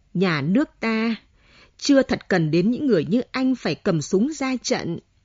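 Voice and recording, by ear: The text is read aloud in a natural voice with lively intonation.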